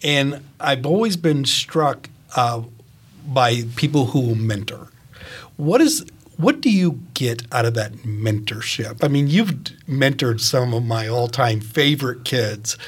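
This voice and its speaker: Delivered at a fairly slow pace, the voice is somewhat breathy with ordinary pitch variation. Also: man, medium pitch for a man. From Maine. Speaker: retired teacher, co-interviewer. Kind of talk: interview.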